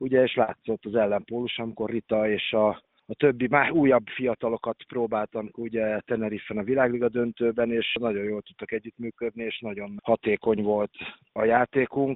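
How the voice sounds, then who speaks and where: Monotone, flat delivery from a man, medium in pitch and moderate in pace. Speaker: water polo head coach. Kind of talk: interview.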